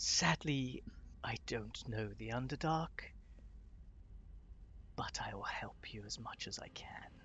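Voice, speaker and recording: A man whispers in a put-on character voice. He goes at a fairly slow pace, with long, frequent pauses. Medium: actual play. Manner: formal, princely.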